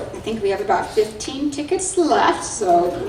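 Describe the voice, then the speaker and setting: Against noticeable background noise, a high-pitched woman speaks at a fairly slow pace. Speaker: nonprofit alliance CEO. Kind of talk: event host announcements and speaker introduction.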